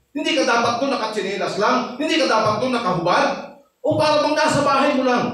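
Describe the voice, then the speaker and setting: Lively intonation and an animated tone come through with audible room echo. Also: man. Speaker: pastor. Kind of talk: sermon. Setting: church. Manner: loud when teaching.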